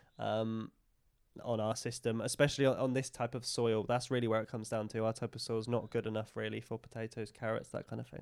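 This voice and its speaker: In an East of England accent, a man speaks at a very fast pace and medium pitch with monotone, flat intonation. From England, Lincolnshire/Cambridgeshire border. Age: 20s. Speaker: regenerative farmer. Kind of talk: interview. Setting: on the farm, in person.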